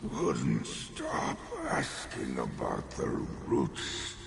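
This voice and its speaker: With loud background noise and a clear echo, a man performs a put-on character voice at a very slow pace. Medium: machinima. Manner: terse, grumbling.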